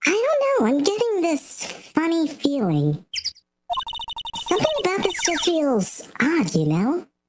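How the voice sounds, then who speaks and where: In a squeaky, put-on character voice, a woman speaks at an extremely high pitch. She goes fairly slowly, with long, frequent pauses. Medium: virtual streamer.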